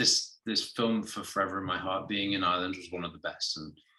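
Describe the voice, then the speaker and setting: In an English accent, a man speaks with a bright, sharp tone. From southwest England. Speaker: actor. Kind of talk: interview. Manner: hesitant, many fillers.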